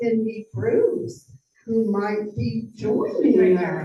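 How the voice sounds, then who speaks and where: A woman at a very slow pace, her intonation lively. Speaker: club member. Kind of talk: announcement at club meeting. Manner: loud.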